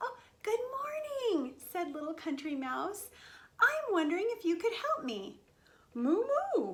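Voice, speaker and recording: In a squeaky put-on character voice, a woman speaks at an extremely high pitch with very wide pitch swings, a moderate pace, and long, frequent pauses. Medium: read story. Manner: polite, earnest.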